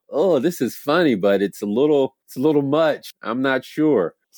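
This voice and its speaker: A man's fairly high-pitched voice with lively intonation at a moderate pace, in a dry, close sound with no echo. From US South. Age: 40s. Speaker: comedian. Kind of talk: casual chat. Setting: video call.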